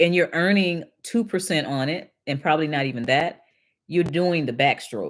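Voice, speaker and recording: A woman with an American accent, fairly low in pitch, at a moderate pace with ordinary pitch variation, on a very clean recording with a silent background. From Detroit, Michigan. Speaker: financial educator and livestream host. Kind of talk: live stream chat reading and Q&A. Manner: casual, halting with repetitions.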